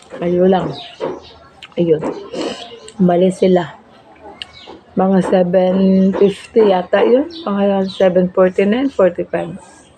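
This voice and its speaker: A woman speaks at a very slow pace and a medium pitch, with very even loudness. Long, frequent pauses and noticeable background noise fill the clip. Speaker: vlogger. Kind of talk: casual vlog storytelling. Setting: at home, eating meal on camera. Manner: halting.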